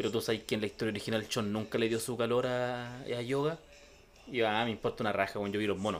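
Speaking very fast in a Chilean accent, a man keeps his intonation fairly even. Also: medium pitch for a man. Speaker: podcast host. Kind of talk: casual chat.

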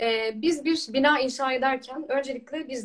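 A woman's high voice moves with lively intonation. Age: 20s. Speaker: trainee lawyer and Quran researcher. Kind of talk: religious discussion.

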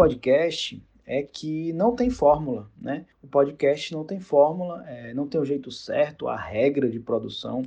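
A man with an unremarkable speaking voice talks fairly slowly in a fairly high pitch. His intonation is lively. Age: 30s. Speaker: journalist and podcaster. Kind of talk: interview answers, casual.

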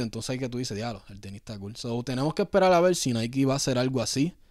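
A man with a Puerto Rican accent at a very fast pace, in a very clean recording with a silent background. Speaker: sneaker podcast host. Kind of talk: casual chat.

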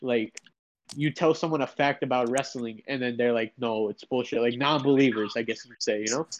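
Recorded dry and close with no echo, a man with a medium pitch speaks in a plain, everyday voice at a fairly quick pace with fairly even intonation. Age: 18. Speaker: aspiring wrestler, podcast guest. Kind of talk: casual chat.

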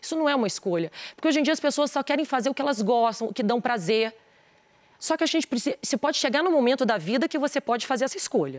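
A woman talks at a very fast pace in a high voice with lively intonation. Her loudness stays very even, and the sound is dry and close with no echo. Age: 40s. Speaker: businesswoman and influencer. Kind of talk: TV interview. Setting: TV studio.

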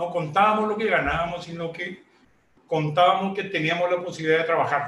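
Over noticeable background noise, a man talks at a fairly quick pace in a high pitch with fairly even intonation. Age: 70s. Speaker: retired entrepreneur. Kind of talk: interview. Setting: at home.

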